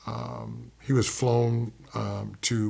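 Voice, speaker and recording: A man's somewhat breathy voice at medium pitch, with an American accent and ordinary pitch variation. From US military bases, Okinawa and Kentucky. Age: 60s. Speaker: poet. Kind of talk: interview, personal life story. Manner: hesitant, many fillers.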